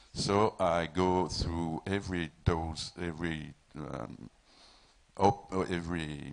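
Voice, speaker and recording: A man speaks at a very deep, low pitch with a French accent. His voice has vocal fry and ordinary pitch variation. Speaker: film producer. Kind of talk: panel discussion. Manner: halting, repeats words.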